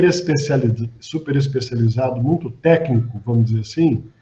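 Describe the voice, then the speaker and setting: With a dark, mellow tone, this man's voice comes out somewhat breathy. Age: 60s. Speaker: physician and hospital executive. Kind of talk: panel discussion.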